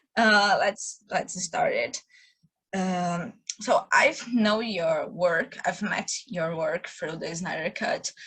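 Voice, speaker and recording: A woman with a Brazilian accent talks at a very slow pace. Her pitch sits in the medium range with ordinary variation. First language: Portuguese. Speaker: interviewer. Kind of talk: interview. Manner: halting.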